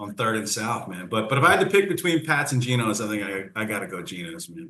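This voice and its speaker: Talking at a very fast pace in a Philadelphia accent, a man uses a bright, sharp tone and very wide pitch swings. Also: medium pitch for a man, big swings in loudness. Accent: Philly. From Philadelphia suburbs, Pennsylvania. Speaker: country singer. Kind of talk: casual interview.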